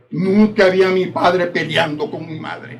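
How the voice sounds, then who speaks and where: At a fairly slow pace, a man with a high pitch talks with ordinary pitch variation. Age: 80s+. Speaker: party member speaker. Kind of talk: speech at political event.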